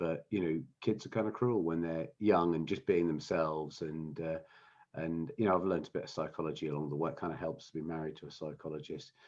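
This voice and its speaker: Talking very fast with a southern English accent, a man speaks at a very deep, low pitch with ordinary pitch variation. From England, London (Wimbledon). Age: 60s. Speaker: business founder. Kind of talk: interview. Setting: podcast recording. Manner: halting, many fillers and repeats.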